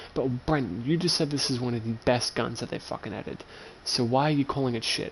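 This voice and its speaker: A man with an Australian accent speaks at a very fast pace with ordinary pitch variation. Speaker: video game streamer. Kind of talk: gameplay livestream commentary. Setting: home. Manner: loud; animated.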